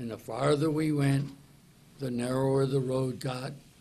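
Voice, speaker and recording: A man talks in a monotone, flat intonation. Noticeable background noise runs underneath. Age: 80s+. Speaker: wilderness survivor. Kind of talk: news conference answer.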